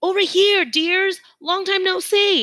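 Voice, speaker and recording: A squeaky, put-on character voice at an extremely high pitch, speaking at a fairly slow pace. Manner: delighted, affectionate.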